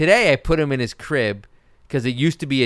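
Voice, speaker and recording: The recording is very clean, with a silent background. A man speaks at a very fast pace. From Brooklyn, New York. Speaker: podcast host. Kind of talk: casual comedic banter, mailbag Q&A. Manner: sarcastic, joking, fast-talking.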